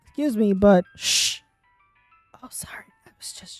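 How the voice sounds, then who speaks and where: In a put-on character voice, a female-sounding whisper comes out breathy at a moderate pace, with faint music in the background. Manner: whispering.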